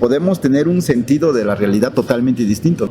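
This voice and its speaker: Speaking in an Oaxacan accent, a man uses a fairly high pitch with very wide pitch swings and a fairly quick pace. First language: Zapotec (speaking Spanish). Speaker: writer. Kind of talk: interview. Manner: halting, with repetitions.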